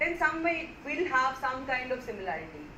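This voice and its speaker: A raised, projected voice with a non-native accent races along at a very fast pace, swinging very widely in pitch. Audible echo fills the room. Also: woman. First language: not Hindi. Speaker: lecturer. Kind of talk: lecture. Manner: halting.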